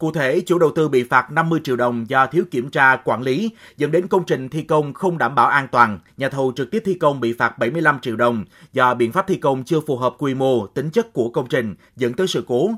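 The recording is very clean, with a silent background. An ordinary speaking voice moves at a fairly quick pace with lively intonation. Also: man, fairly high pitch for a man. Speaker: news reporter. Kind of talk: news reading.

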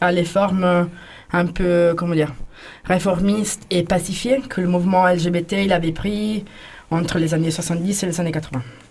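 Against noticeable background noise, a woman talks very slowly in a fairly low voice with fairly even intonation. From Italy. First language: Italian (speaking French). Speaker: queer activist in a techno collective. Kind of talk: radio interview. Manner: halting.

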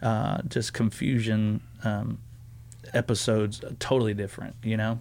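A man with a Southern US accent speaks at a medium pitch in a dark, mellow tone with monotone, flat intonation. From US South. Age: 30s. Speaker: student pastor. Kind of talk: casual chat.

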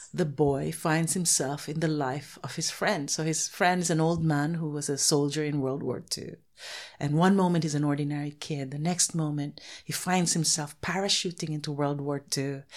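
Against a silent background in a very clean recording, a woman with a very deep, low voice speaks at a moderate pace with fairly even intonation. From Philippines. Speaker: children's author. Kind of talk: casual interview.

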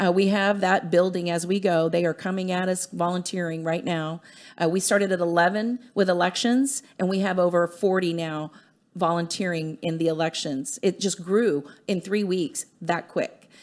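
A woman in an American accent with a plain, everyday voice, medium pitch, ordinary pitch variation and a moderate pace, on a very clean recording with a silent background. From US military family. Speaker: grassroots political activist. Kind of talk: studio interview. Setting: studio.

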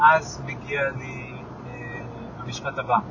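A man speaks over noticeable background noise. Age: 30s. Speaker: podcaster. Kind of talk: solo monologue while driving. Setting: in a car. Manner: halting, with fillers and restarts.

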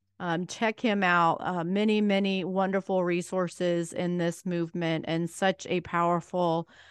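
In an ordinary speaking voice, a woman with a fairly low pitch talks fairly slowly, her intonation fairly even. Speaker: podcast host and pastor. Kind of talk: podcast intro and outro, scripted.

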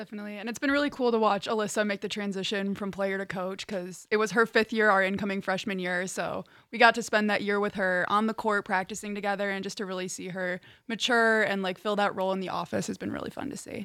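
On a very clean recording with a silent background, a woman talks very fast with hardly any pauses, at medium pitch, in a bright, sharp tone with fairly even intonation. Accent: Chicago. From Chicago suburbs, Illinois. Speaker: college volleyball player. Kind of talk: interview.

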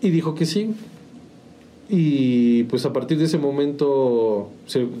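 This man's voice comes with audible echo from the room. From Mexico, San Juan del Río, Querétaro. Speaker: musician. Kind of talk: interview. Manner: halting, repeats words.

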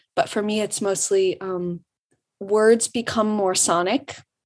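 A woman with an ordinary speaking voice speaks at a medium pitch with an American accent and fairly even intonation. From Michigan, Detroit suburbs. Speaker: singer-songwriter. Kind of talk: interview. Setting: video call.

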